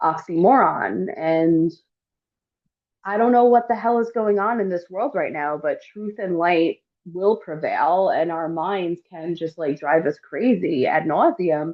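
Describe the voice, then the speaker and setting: A woman speaks in a normal speaking voice, fairly low in pitch, with ordinary pitch variation. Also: fairly slow pace. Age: 40s. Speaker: astrologer and podcast host. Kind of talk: podcast interview wrap-up.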